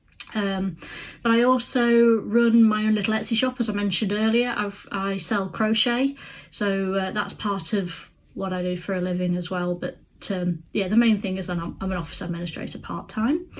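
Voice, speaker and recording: A woman with a Midlands accent speaks at a moderate pace in a somewhat breathy voice. Her pitch is medium, with ordinary pitch variation. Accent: British (Midlands). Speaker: crafts vlogger. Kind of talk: casual vlog to camera. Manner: hesitant, many fillers.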